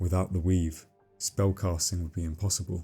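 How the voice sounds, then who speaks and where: A soft-spoken man's very deep, low voice in a calm tone, monotone and flat in intonation, with music in the background. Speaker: lore narrator. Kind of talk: scripted narration.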